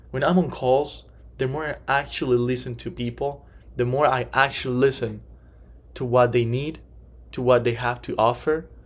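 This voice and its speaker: A man at a medium pitch speaks at a moderate pace in a monotone, with long, frequent pauses. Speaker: life insurance salesman. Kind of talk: class presentation. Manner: halting.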